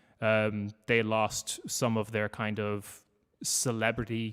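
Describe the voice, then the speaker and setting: A man with an Irish accent speaks at a very slow pace and fairly low pitch. The recording is very clean, with a silent background. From Ireland. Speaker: podcaster. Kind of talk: panel talk.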